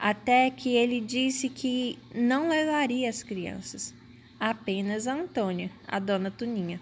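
The woman's pace is very slow. Her pitch sits fairly high, with ordinary variation. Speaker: podcast host. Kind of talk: scripted narration.

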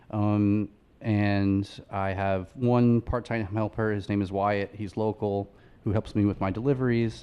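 In an American accent, a man with a fairly low pitch talks at a fairly slow pace with monotone, flat intonation. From Long Island, New York. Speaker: furniture maker and business owner. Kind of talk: interview. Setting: radio studio.

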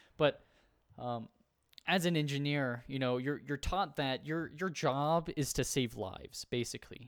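An unremarkable speaking voice from a man with an American accent, fairly high in pitch with ordinary pitch variation, at a moderate pace. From United States. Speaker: podcast co-host. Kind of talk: casual discussion.

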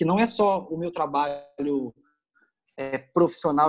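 A man talks with ordinary pitch variation. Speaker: journalist and photographer. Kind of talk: casual chat.

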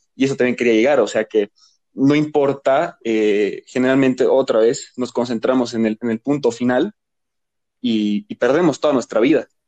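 A man's dark, mellow voice at medium pitch, with ordinary pitch variation, a moderate pace, and a dry, close sound with no echo. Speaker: podcast co-host. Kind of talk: casual chat.

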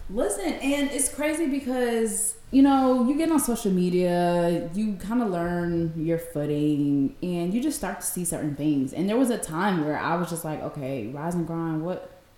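A woman at medium pitch talks at a moderate pace, with very wide pitch swings and hardly any pauses. Noticeable background noise runs underneath. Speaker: podcast co-host. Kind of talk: casual chat. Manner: animated.

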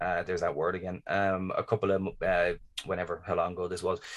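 Speaking with a Dublin accent, a man has a very deep, low pitch. His delivery is monotone and flat at a fairly quick pace. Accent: Irish (Dublin). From Ireland. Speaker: podcast host. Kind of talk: casual chat.

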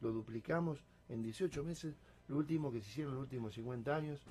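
This man's pitch sits fairly high and his voice is somewhat breathy. He keeps a moderate pace. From Argentina, Salto, Buenos Aires province. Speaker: mayor. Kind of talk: radio interview.

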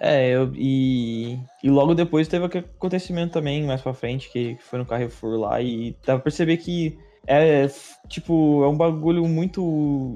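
With a dark, mellow tone, a man speaks at a fairly high pitch with ordinary pitch variation. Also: fairly slow pace. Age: 20s. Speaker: podcast host. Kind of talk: casual chat.

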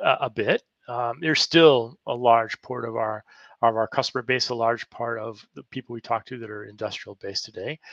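A man's medium-pitched voice with a bright, sharp tone, big swings in loudness and a moderate pace, dry and close with no echo. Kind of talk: interview, casual professional.

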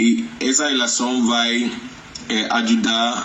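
Audible room echo and noticeable background noise surround a man speaking at a medium pitch. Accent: Nigerian. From Nigeria, Lagos. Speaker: interview guest. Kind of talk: interview. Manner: halting, many fillers and self-corrections.

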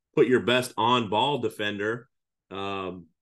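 With a Midwestern US accent, a man talks at a medium pitch and with ordinary pitch variation. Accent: US Midwest. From Iowa, US Midwest. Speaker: high school basketball coach. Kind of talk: podcast interview.

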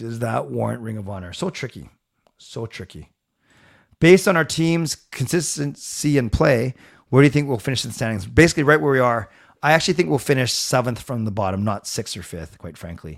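A man's voice with very wide pitch swings and big swings in loudness, on a very clean recording with a silent background. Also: medium pitch for a man, fairly quick pace. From Canada, Vancouver area. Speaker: sports commentator. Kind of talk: live-stream commentary. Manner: fast talker; enthusiastic.

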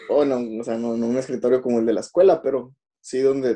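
A man at a medium pitch, dark and mellow in tone, at a moderate pace. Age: 20s. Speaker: schoolteacher, podcast co-host. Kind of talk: casual chat.

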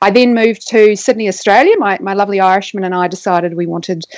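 A woman with a New Zealand accent at a fairly quick pace. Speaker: neuroscientist. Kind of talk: interview.

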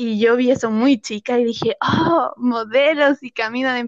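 At a moderate pace, a high-pitched woman speaks with ordinary pitch variation. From rural central Chile. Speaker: actress. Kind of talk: casual interview.

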